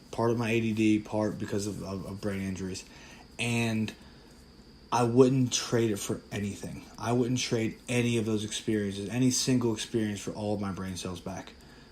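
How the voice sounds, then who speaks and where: The man's voice is fairly low and monotone, with flat intonation. He keeps a moderate pace. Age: 30s. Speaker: podcast host, former football player. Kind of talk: casual solo podcast monologue. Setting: recorded from a social media live stream.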